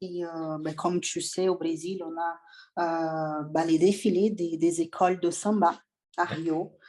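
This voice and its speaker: Very slowly, a woman with a Portuguese accent speaks at a medium pitch in a dark, mellow tone with ordinary pitch variation. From Brazil. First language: Portuguese (speaking French). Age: 20s. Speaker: bodybuilding athlete and coach. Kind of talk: podcast interview. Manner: hesitant, many fillers.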